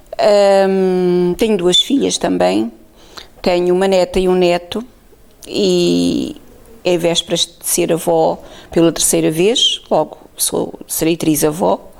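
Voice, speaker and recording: A woman speaking at a very slow pace, with noticeable background noise. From Portugal, Alto Alentejo. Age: 60s. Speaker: oral history interviewee. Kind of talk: testimony. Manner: halting.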